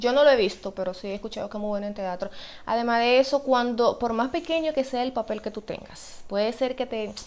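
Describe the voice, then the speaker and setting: Ordinary pitch variation at a fairly quick pace. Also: woman. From Dominican Republic. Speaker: actress. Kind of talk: interview answer. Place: home room.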